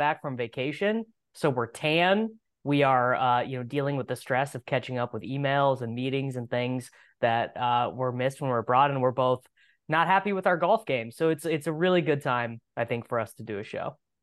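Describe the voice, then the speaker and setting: With an American accent and an unremarkable speaking voice, a man talks at a moderate pace, his pitch fairly high with ordinary variation, against a quiet background. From Kansas. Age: 30s. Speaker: fantasy football podcaster. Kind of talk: casual chat.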